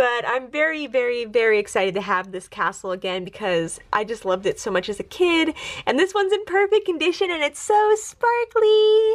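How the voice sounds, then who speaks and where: A woman's high voice with an American accent, very wide pitch swings, a fairly quick pace and hardly any pauses, over noticeable background noise. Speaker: toy collector YouTuber. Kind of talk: casual show-and-tell tour. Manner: chatty, many fillers.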